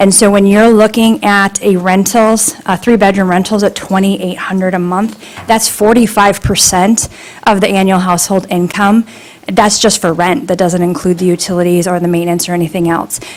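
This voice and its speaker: A woman with a medium pitch keeps a moderate pace and fairly even intonation, noticeable background noise present throughout. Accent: American. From northern Michigan. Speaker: public commenter at township meeting. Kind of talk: public comment. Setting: public meeting room.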